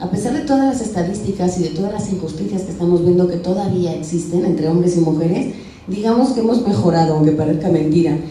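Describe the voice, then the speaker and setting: A woman with a fairly low pitch talks at a very fast pace with lively intonation. Noticeable background noise and audible room echo are present. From Spain. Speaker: radio and television communicator, lexicographer. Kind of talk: motivational talk to schoolgirls.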